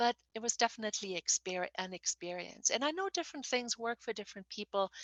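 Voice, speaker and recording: A woman with a German accent speaks at a fairly high pitch, her voice making very wide pitch swings. The sound is dry and close, with no echo. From Germany. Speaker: novelist. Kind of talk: interview. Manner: halting, with frequent fillers and repetitions.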